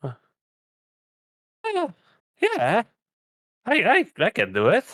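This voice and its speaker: Using a put-on character voice, a man speaks at a fairly slow pace in an extremely high pitch. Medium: actual play. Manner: halting, hesitant.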